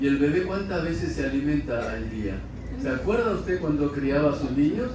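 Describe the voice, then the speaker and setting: Room echo is audible and background noise is noticeable as a man talks. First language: Korean (speaking Spanish). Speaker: preacher. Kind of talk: sermon. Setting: church. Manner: halting.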